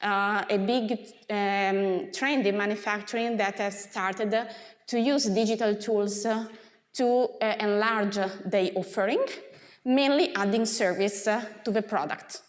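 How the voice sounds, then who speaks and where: Speaking at a fairly slow pace, a woman keeps a medium pitch, fairly even intonation and very even loudness. Audible room echo and noticeable background noise fill the recording. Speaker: associate professor. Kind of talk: lecture. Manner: hesitant, many filler sounds.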